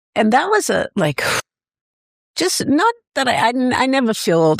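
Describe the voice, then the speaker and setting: A woman with vocal fry speaks at a moderate pace with very wide pitch swings, very even loudness and long, frequent pauses, in a dry, close sound with no echo. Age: 60s. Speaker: food truck owner. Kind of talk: podcast interview. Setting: studio. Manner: casual, hesitant with repeated words.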